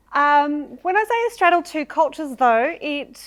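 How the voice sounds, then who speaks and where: A woman with an Australian accent, very wide pitch swings, a moderate pace, and a very clean recording against a silent background. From Australia (Victoria, Shepparton). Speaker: storyteller, broadcaster. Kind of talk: storytelling talk.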